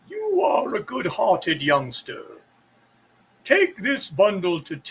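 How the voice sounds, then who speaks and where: A man shouts in a put-on, high-pitched character voice at a fairly slow pace. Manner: kindly.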